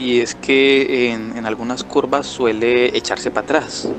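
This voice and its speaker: A man's voice at medium pitch, with noticeable background noise. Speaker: gaming YouTuber. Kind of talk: casual gameplay commentary. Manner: hesitant, improvised.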